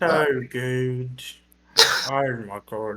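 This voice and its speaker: A put-on character voice at a low-to-middle pitch. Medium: actual play.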